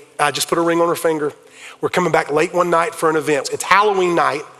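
A fairly high-pitched man with a South Carolina accent at a very fast pace, fairly even in intonation, with music in the background. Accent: Southern US (South Carolina). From US South, South Carolina. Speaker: pastor. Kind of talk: sermon. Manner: loud.

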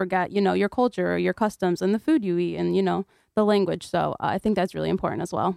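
A woman with a Connecticut accent at a very fast pace, the sound dry and close with no echo. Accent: American (Connecticut). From Kurdistan, raised in Connecticut, US. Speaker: university student. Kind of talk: radio interview.

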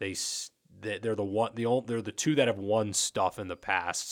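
A man with fairly low pitch at a moderate pace, dry and close with no echo, on a very clean recording with a silent background. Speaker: sports reporter. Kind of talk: casual chat. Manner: hesitant, repeats words.

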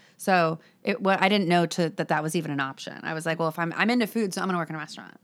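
Very fast speech comes from a woman with a fairly low pitch and an American accent. Her pitch varies in an ordinary way, on a very clean recording with a silent background. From Los Angeles, California. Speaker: cookbook author. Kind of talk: interview before a live audience. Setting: live event in a bookstore.

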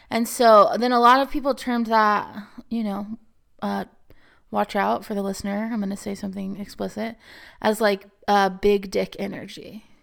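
On a very clean recording with a silent background, a woman at medium pitch talks at a moderate pace with fairly even intonation and long, frequent pauses. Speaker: podcast co-host and preacher.

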